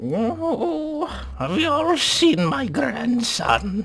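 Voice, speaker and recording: A man's put-on character voice, high in pitch, at a very slow pace. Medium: actual play. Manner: quavering, plaintive.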